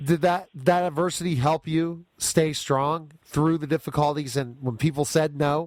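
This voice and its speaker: A man speaks at a fairly slow pace with hardly any pauses, in a normal speaking voice. His pitch is fairly high and his intonation fairly even. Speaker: radio show host. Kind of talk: radio interview questions.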